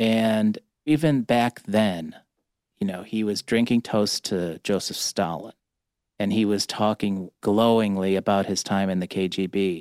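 A man's fairly low-pitched, normal speaking voice with an American accent, ordinary pitch variation and a fairly slow pace, in a very clean recording with a silent background and a dry, close sound with no echo. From Cleveland, Ohio. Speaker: media executive, former newspaper editor. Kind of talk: interview. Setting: studio.

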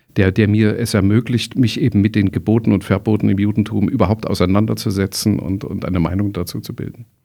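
A man with a fairly low pitch, a dark, mellow tone and vocal fry speaks very fast with hardly any pauses and fairly even intonation. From East Germany. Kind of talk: interview conversation. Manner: hesitant with many fillers and repetitions.

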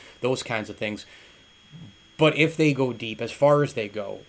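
Against noticeable background noise, a man talks at a fairly quick pace with an American accent. His tone is animated, with ordinary pitch variation. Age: 40s. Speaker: sports podcast host. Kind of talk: casual sports chat.

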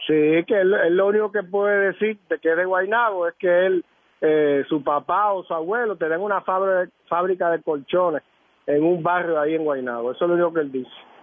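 A man's high-pitched voice at a fairly quick pace. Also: ordinary pitch variation, very even loudness. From Puerto Rico, San Juan. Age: 50s. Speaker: former politician. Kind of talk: radio interview. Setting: phone call.

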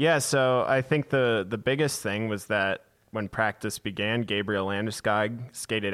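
He talks in a normal speaking voice, pitched at a medium level for a man. His pace is moderate and his pitch shifts in an ordinary way. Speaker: hockey beat reporter. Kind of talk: interview. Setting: video call.

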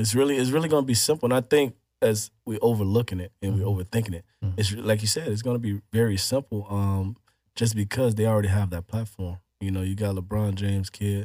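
A man with an American accent speaks very fast in a dark, mellow tone, fairly low in pitch with ordinary variation. The recording is very clean, dry and close, with a silent background and no echo. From Chicago, Illinois. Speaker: former teacher and dog breeder. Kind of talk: casual interview. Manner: hesitant, many fillers.

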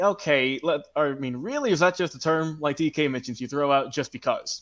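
A man with an American accent at a fairly quick pace, with ordinary pitch variation and a quiet background. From Georgia, US South. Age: young. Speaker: social media producer. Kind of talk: casual chat.

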